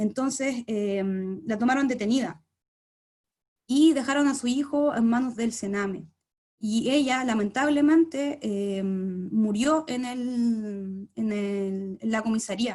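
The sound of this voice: A woman speaks at a slow pace with a fairly high pitch. Her tone is slightly mellow. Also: ordinary pitch variation.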